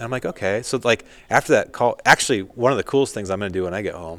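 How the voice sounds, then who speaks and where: A man at a very fast pace with ordinary pitch variation, in a very clean recording with a silent background and a dry, close sound with no echo. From US West. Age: 40s. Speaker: country singer and hunting entrepreneur. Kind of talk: casual chat. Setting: studio.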